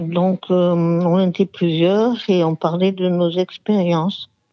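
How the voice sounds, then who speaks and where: This woman's voice sits at a medium pitch. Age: 60s. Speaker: former alcoholic giving testimony. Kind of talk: phone interview testimony. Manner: halting, many hesitations.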